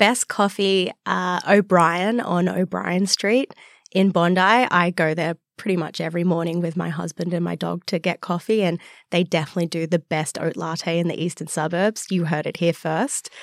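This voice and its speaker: At a moderate pace, a woman with an Australian accent and a fairly low pitch speaks with fairly even intonation in a very clean recording with a silent background and a dry, close sound with no echo. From Australia, Newcastle NSW. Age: young. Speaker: wildlife scientist and startup founder. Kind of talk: interview.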